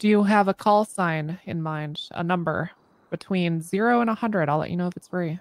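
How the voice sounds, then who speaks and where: A woman with an ordinary speaking voice talks at a moderate pace, her fairly low pitch showing ordinary variation. The sound is dry with no echo. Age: 30s. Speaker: roleplay player (police officer character); streamer voicing a roleplay police officer. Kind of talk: in-character roleplay. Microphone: headset.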